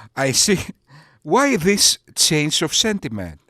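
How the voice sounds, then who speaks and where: In a very clean recording with a silent background, a man with a Greek accent speaks very slowly at a fairly high pitch, the sound dry and close with no echo. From Greece. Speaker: YouTube commentator. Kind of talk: sarcastic commentary.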